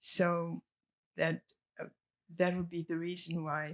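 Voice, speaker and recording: Her voice is very deep and low in pitch, a woman recorded dry and close with no echo. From Czech Republic. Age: 80s+. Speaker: filmmaker. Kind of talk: Q&A discussion. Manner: halting.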